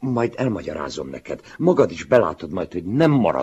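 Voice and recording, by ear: Lively intonation in a natural voice reading aloud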